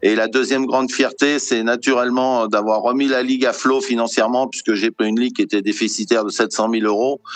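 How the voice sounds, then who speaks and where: At a fairly quick pace and with hardly any pauses, a man talks in a medium pitch, his intonation fairly even and his loudness very even. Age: 60s. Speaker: sports federation president, retired plumber. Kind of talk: interview. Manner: halting, many repetitions and fillers.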